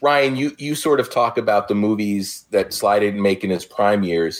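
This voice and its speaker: A man's fairly low-pitched, normal speaking voice at a moderate pace, with ordinary pitch variation, on a very clean recording with a silent background. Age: 50s. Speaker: podcaster. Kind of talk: casual chat.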